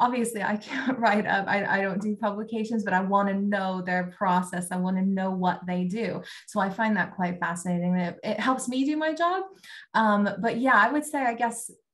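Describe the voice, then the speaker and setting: A woman speaks at a moderate pace and a medium pitch, somewhat breathy. Her pitch varies in an ordinary way against a quiet background. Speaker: talent acquisition recruiter. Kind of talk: casual interview. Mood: friendly, relaxed. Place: home room. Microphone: video call.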